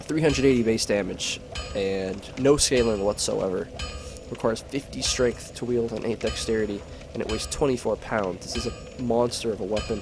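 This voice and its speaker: A man speaks at a moderate speed. There is music behind him. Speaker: gaming commentator. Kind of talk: gameplay commentary. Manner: casual with many fillers.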